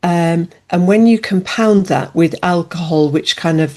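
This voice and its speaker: Against a quiet background, a woman with an English accent speaks with a fairly low pitch and a dark, mellow tone. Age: 60s. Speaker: alcohol-freedom coach and author. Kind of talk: interview. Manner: hesitant, many fillers.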